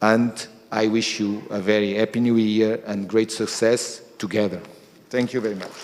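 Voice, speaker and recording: Speaking in a Portuguese accent, a man keeps a moderate pace and a fairly low pitch, with monotone, flat intonation. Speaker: energy company executive. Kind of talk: speech. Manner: halting.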